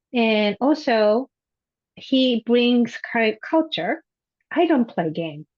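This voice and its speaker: A woman with a Japanese accent and a fairly high pitch. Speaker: high school Japanese teacher. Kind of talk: panel discussion.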